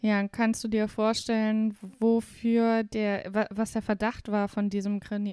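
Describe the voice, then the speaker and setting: At a very slow pace, a woman with a fairly high pitch and a dark, mellow tone speaks in a monotone, flat intonation. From Saarland, Germany. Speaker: podcast host. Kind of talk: casual chat.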